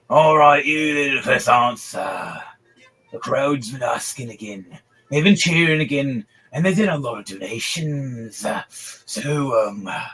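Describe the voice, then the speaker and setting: Faint music plays behind a man who uses a put-on character voice at a moderate pace. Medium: actual play. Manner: gruff, rambling.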